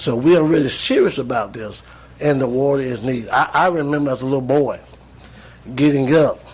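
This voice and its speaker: Through noticeable background noise, a man with a Southern US accent and medium pitch talks at a fairly quick pace with ordinary pitch variation. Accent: Southern US (Georgia). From US South, Georgia (Jones County). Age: 60s. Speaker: retired pastor speaking at public meeting. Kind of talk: public comment at county meeting. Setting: county commission work session. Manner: earnest, repetitive.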